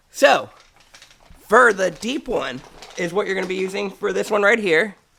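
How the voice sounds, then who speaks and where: At a moderate pace, a man speaks in a raised, projected voice, high in pitch and with ordinary pitch variation. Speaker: car mechanic DIY youtuber. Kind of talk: tutorial. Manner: casual.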